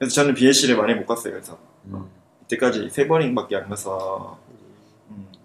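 A man with an ordinary speaking voice and a medium pitch talks at a moderate pace, showing ordinary pitch variation and big swings in loudness. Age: 20s. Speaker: university student. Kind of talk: casual chat. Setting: studio.

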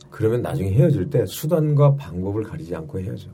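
A male voice with lively intonation, audible room echo and music in the background. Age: 50s. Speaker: comedian. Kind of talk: casual chat.

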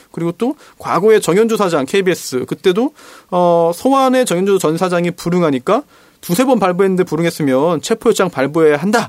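Lively in intonation and fairly quick, a man talks at a high pitch in a dry, close sound with no echo. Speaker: lawyer, stand-in host. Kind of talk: casual political chat.

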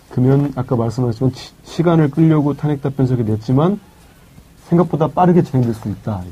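A man with an unremarkable speaking voice talks at a fairly quick pace, his pitch fairly high for a man with ordinary pitch variation. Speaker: journalist, editorial writer. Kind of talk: casual political talk.

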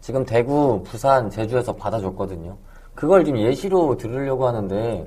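Somewhat breathy, with a dark, mellow tone, a man speaks at medium pitch and a moderate pace with lively intonation. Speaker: podcast producer. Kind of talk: casual chat.

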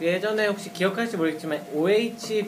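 Backed by music, a man talks at a moderate pace with a high pitch. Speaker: band drummer. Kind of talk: casual radio chat.

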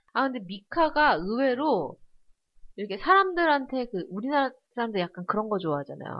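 A woman with a high pitch talks at a moderate pace, her voice swinging very widely in pitch. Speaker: podcast co-host. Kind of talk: casual chat.

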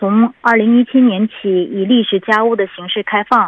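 At a fairly slow pace, a woman with a plain, everyday voice speaks at a medium pitch with ordinary pitch variation. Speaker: city government information officer. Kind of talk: informational report in conversation. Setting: phone call.

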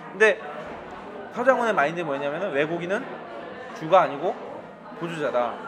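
Over noticeable background noise, a man speaks at a fairly quick pace in a high-pitched voice with lively intonation. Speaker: podcast host. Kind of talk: casual chat. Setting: cafe with background music.

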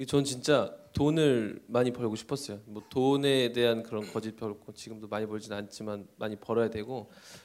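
At a moderate pace with hardly any pauses, a man speaks in a medium pitch with fairly even intonation and big swings in loudness. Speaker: custom suit company CEO. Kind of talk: interview on live talk show. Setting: stage with audience. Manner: halting.

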